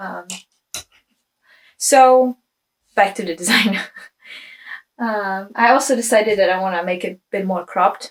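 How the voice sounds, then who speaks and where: With a Czech accent, a woman speaks with long, frequent pauses, big swings in loudness and ordinary pitch variation. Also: medium pitch for a woman, moderate pace. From Czech Republic. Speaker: knitwear designer. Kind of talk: casual vlog chat. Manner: hesitant, many fillers.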